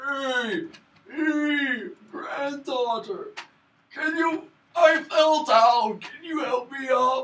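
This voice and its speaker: In a put-on character voice with a high pitch, the speaker goes very slowly, leaving long, frequent pauses. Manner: frail, pleading.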